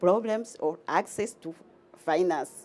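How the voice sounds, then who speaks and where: A woman is speaking. Her tone is dark and mellow. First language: French. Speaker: conference attendee. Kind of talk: audience comment at conference. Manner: halting.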